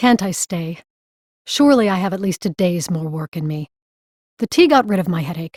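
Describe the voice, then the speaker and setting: A quiet, put-on character voice moves at a moderate pace. Long, frequent pauses break it up. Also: female-sounding voice, medium pitch for a woman. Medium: read story. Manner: dry, blunt.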